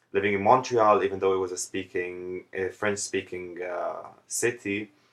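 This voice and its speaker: A man with an Arabic accent, at a moderate pace, in a monotone, flat intonation. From Jordan. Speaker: vlogger. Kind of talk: casual vlog monologue.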